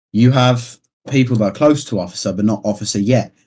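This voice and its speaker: Someone with a British accent talks at a fairly quick pace on a very clean recording with a silent background. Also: man. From United Kingdom. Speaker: gaming clan officer. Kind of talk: casual podcast interview.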